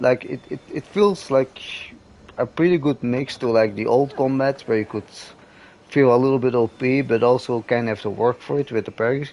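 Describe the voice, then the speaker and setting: A man at medium pitch with a non-native accent, speaking at a fairly quick pace. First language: not English. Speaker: gaming streamer. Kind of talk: casual chat. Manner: halting, many repetitions and fillers.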